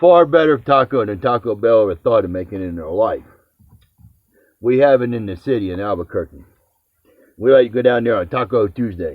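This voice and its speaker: Speaking with an American accent, a man uses lively intonation and a medium pitch at a fairly quick pace, with big swings in loudness and long, frequent pauses. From New Jersey / New York area. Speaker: home cooking video host. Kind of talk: casual chat.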